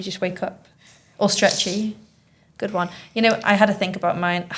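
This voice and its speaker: Somewhat breathy, a woman with a Manchester accent speaks at a medium pitch with fairly even intonation. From Manchester, northern England. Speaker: teacher hosting school podcast. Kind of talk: casual chat.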